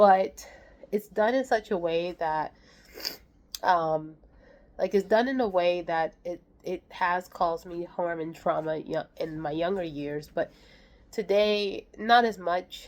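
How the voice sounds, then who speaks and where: On a very clean recording with a silent background, a woman talks very slowly in a fairly low voice with ordinary pitch variation and long, frequent pauses. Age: 30s. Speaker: vlogger. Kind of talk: casual monologue. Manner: halting.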